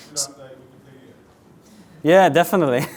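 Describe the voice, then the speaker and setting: This man has a fairly high voice. He speaks with a Slovenian accent. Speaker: software architect, conference speaker. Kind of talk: conference tech talk. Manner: fast, rushed.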